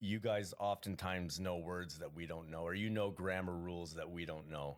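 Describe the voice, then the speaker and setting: A man with a Canadian accent speaks at a moderate pace in a very deep, low pitch. The recording is very clean with a silent background. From Canada. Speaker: comedian. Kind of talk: casual chat.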